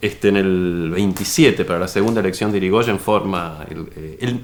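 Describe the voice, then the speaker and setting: The man's very deep, low voice moves at a moderate pace with ordinary pitch variation. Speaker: writer. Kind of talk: interview. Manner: halting.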